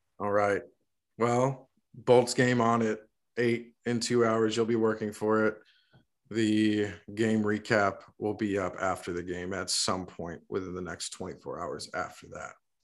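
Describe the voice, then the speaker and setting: The recording is very clean with a silent background, carrying an ordinary speaking voice from a man at a fairly low pitch. He speaks at a fairly slow pace with fairly even intonation. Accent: American. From US South, Florida. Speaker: podcast co-host. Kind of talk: casual chat.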